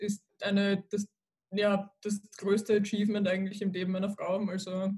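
A woman's somewhat breathy voice at medium pitch, moderate pace, flat monotone intonation. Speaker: university student. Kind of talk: casual chat.

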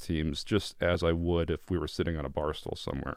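At a fairly quick pace, a man with an American accent speaks on a very clean recording with a silent background. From northern Connecticut. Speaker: podcast host. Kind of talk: casual chat. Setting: studio.

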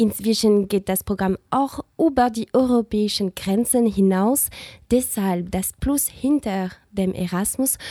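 A woman with a non-native accent speaks at a very slow pace, her medium pitch showing ordinary variation and a dark, mellow tone. The recording is very clean with a silent background and a dry, close sound with no echo. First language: not German (speaking German). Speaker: student radio host. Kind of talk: scripted radio magazine presenting. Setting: studio.

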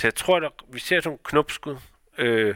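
A man talks at a fairly quick pace with a bright, sharp tone, vocal fry and ordinary pitch variation. The very clean recording has a silent background and a dry, close sound with no echo. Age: 40s. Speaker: company founder and director. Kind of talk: interview. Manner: halting, many fillers.

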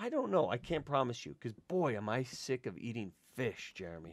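This man's voice carries vocal fry and very wide pitch swings at a moderate pace. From grew up in an Italian household. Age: 40s. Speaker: podcast host and prostate cancer patient. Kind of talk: casual interview conversation.

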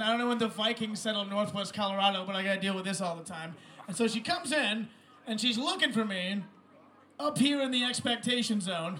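A man's high, raised, projected voice at a fairly quick pace, ordinary in pitch variation, with noticeable background noise. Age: young. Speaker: comedian. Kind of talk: stand-up.

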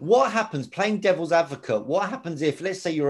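Over a quiet background, a man's pitch swings very widely. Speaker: podcast host. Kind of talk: casual interview chat.

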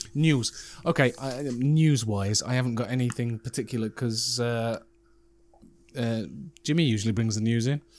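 A man with a British accent, medium-pitched, at a moderate pace with fairly even intonation. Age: 40s. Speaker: podcast host. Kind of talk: casual chat.

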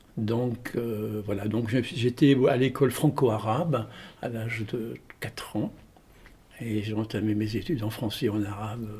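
A man speaks at a fairly slow pace and a medium pitch, with long, frequent pauses. Noticeable background noise runs underneath. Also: fairly even intonation. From Tunisia (Tunis). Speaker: storyteller and theatre actor. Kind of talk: interview.

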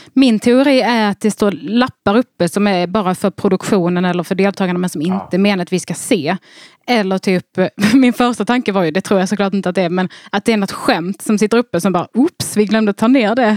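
An unremarkable speaking voice talks at a fairly quick pace with ordinary pitch variation. The sound is dry and close, with no echo. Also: woman, medium pitch for a woman. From Skåne, southern Sweden (Bjärnum). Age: 30s. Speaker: comedian and podcaster. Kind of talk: casual chat.

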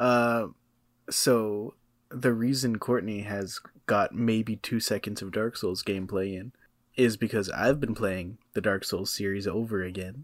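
A man speaks fairly slowly in a fairly low voice with fairly even intonation. It is an ordinary speaking voice. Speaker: podcast co-host. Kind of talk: casual chat. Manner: laid-back.

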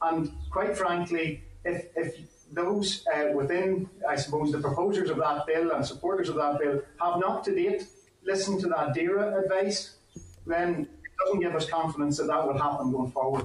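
With a Northern Irish accent, a man talks at a moderate pace in a high pitch with ordinary pitch variation and very even loudness. Background noise is noticeable. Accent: Northern Irish (Fermanagh). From Northern Ireland, County Fermanagh. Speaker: farmers' union deputy president. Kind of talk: committee evidence session.

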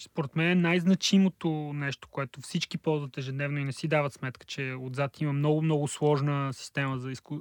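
This man talks fairly quickly in a fairly high pitch, with hardly any pauses and fairly even intonation. The recording is very clean with a silent background and a dry, close sound without echo. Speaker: data and text analysis specialist. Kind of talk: casual chat.

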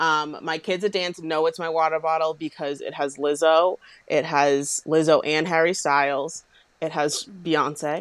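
Her very deep, low voice moves at a fairly slow pace with monotone, flat intonation. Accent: American. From Boston, US. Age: 20s. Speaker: dance teacher and book influencer. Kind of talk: casual chat.

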